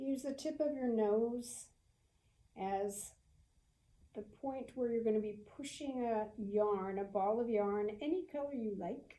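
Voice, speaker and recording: With a dark, mellow tone and ordinary pitch variation, the speaker moves at a very slow pace. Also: woman. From US South. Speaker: yoga instructor. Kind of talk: guided yoga class. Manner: slow, gentle; calm.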